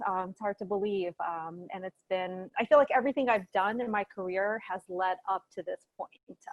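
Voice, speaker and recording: The recording is dry and close with no echo as a woman talks at a moderate pace, her medium pitch showing ordinary variation. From US Northeast, New Jersey. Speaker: beauty company executive. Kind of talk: interview.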